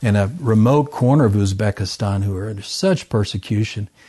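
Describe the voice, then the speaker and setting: A man's somewhat breathy voice in a dark, mellow tone, with ordinary pitch variation. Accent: American. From US South, southern Arkansas. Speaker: missionary researcher and author. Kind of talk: interview. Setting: at home.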